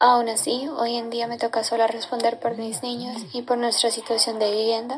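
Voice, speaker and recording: A woman at a high pitch and fairly slow pace, over noticeable background noise. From Colombia, Caldas. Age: 20s. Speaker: displaced conflict survivor. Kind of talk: testimony.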